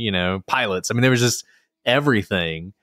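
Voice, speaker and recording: A man talks in a fairly low voice with a Southern US accent and ordinary pitch variation. The sound is dry and close with no echo, in a very clean recording with a silent background. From Alabama. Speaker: attorney and podcast host. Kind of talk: casual interview conversation.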